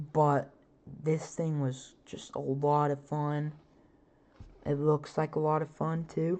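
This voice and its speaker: A woman's very deep, low voice with a dark, mellow tone and monotone, flat intonation, at a very slow pace with long, frequent pauses against a quiet background. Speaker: podcast host. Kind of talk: casual monologue about roller coasters. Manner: filler-heavy, casual.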